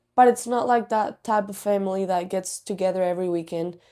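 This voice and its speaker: In a very clean recording with a silent background, a woman with a Spanish accent speaks in a dark, mellow tone with fairly even intonation. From Spain, Canary Islands (Tenerife). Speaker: student athlete. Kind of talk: interview. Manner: casual, many fillers.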